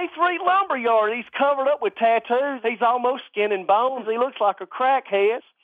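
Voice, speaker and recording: With an Alabama accent, a man talks at an extremely high pitch with lively intonation. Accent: Southern US (Alabama). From US South, rural Alabama. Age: 40s. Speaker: antique clock restorer. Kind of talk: casual chat.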